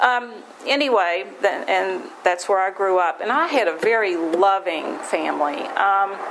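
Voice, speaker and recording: An American-accented woman at a medium pitch, with lively intonation, a fairly slow pace and noticeable background noise. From West Virginia. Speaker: AA speaker. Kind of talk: recovery testimony talk. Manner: halting, many fillers and restarts.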